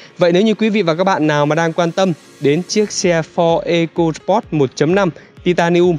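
The loudness stays very even and the intonation fairly even, at a fairly slow pace. Faint music plays in the background, and the sound is dry with no echo. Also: man, high pitch for a man. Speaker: presenter. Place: street.

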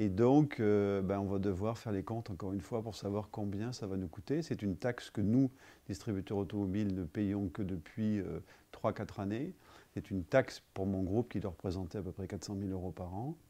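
A dark, mellow male tone, moderate in pace. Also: fairly low pitch for a man, ordinary pitch variation. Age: 50s. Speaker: business owner. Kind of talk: testimony. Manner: halting. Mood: calm, concerned. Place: office.

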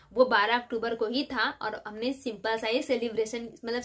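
The woman talks at a moderate pace in a fairly high pitch. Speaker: vlogger. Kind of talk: casual chat replying to viewer comments. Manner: animated, dramatic delivery. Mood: relaxed and friendly. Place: home room. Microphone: phone near.

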